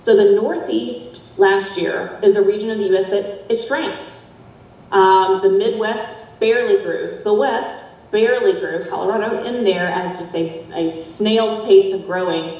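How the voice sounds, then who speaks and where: A woman with a Southern US accent at a fairly slow pace, with audible room echo and noticeable background noise. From US South. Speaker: demographer. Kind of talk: lecture.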